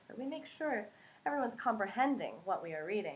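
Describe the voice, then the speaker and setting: A woman with an American accent speaks at a moderate pace with lively intonation in an unremarkable speaking voice. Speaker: English teacher (ESL). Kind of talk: casual talk to camera, educational explanation.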